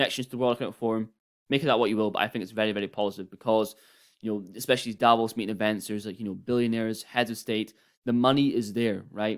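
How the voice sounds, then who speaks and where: In a very clean recording with a silent background, the speech runs at a very fast pace with monotone, flat intonation. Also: man, medium pitch for a man. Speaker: crypto YouTuber. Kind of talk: casual commentary video.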